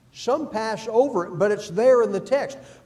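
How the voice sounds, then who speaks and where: Lively intonation and a dark, mellow tone come through with audible room echo. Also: man. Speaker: Bible class teacher. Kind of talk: Bible class lecture.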